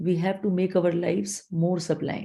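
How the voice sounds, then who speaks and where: Very slow speech from a woman, somewhat breathy in quality. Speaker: professor and college principal. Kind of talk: lecture. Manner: halting.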